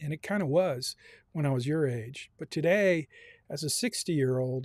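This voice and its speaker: The man's pitch is fairly high, with ordinary variation, and his pace is moderate. He uses a normal speaking voice, with a dry, close sound and no echo. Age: 60s. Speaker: university personal finance instructor. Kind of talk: online class lecture. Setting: Zoom meeting live streamed.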